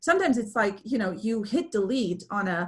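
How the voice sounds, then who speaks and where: A somewhat breathy woman speaks at a moderate pace, her fairly high pitch carried by lively intonation. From Romania, then Germany from age 11. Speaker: speaker, business coach. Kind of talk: webinar presentation Q&A. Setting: video call. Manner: animated, many fillers.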